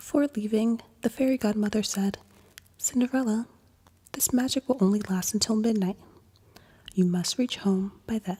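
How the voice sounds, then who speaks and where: A woman with a fairly high, somewhat breathy voice of dark, mellow, gentle tone speaks at a moderate pace with ordinary pitch variation and long, frequent pauses, recorded dry and close with no echo. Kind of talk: bedtime story reading. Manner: soft-spoken, gentle.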